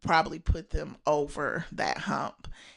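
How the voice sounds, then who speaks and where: With an American accent, a woman talks at a very slow pace. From Indiana, US. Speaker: sports podcast co-host. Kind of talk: casual chat.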